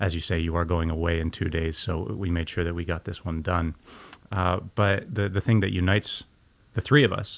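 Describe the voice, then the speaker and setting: In a very clean recording with a silent background, a man with a very deep, low voice talks at a moderate pace with fairly even intonation. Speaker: podcast host and school director of student experience. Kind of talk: casual interview. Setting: studio.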